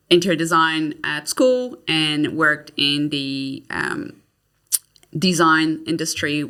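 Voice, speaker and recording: A woman's very deep, low voice with a Canadian accent, bright, sharp tone and ordinary pitch variation. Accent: Canadian, noticeable. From Quebec, Canada (Montreal). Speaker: kitchen designer. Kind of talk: podcast interview.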